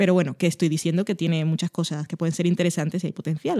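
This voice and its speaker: This voice has a dark, mellow tone and a dry, close sound with no echo. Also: woman. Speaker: podcast co-host. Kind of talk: casual chat.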